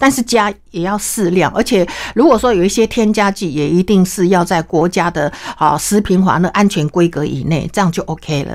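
Here a woman speaks with a Taiwanese accent. Her voice is medium in pitch, and her pace is fairly quick. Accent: Taiwanese Mandarin. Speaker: cooking teacher and cookbook author. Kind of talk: interview. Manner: animated.

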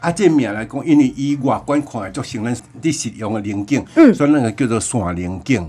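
With music in the background, a man of medium pitch speaks with lively intonation and hardly any pauses. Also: moderate pace. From Taiwan, Chiayi County. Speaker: village chief and coffee farmer. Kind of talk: radio interview. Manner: halting, many fillers.

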